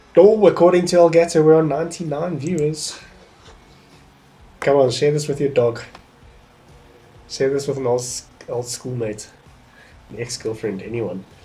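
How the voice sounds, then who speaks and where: Music plays behind a man whose fairly high voice shows lively intonation and big swings in loudness. He keeps a moderate pace with long, frequent pauses. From South Africa. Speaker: gaming streamer. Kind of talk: casual livestream gameplay commentary. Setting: livestream.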